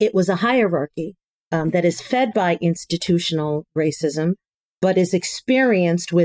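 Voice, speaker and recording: An ordinary speaking voice from a woman, fairly low in pitch, at a moderate pace, in a very clean recording with a silent background and a dry, close sound with no echo. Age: 50s. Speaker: community health worker, association director. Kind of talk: panel discussion.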